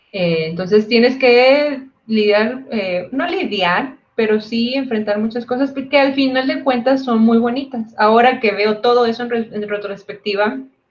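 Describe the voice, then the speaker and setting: With a northern Mexican accent, a woman talks fairly slowly at a fairly high pitch, with ordinary pitch variation and hardly any pauses. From northern Mexico (Tamaulipas/Monterrey area). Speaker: physicist, PhD researcher. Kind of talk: panel talk.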